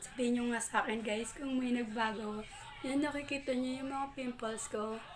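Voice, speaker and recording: A woman with a high voice and ordinary pitch variation speaks over noticeable background noise, with audible room echo. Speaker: vlogger. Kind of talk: product review vlog. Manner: casual.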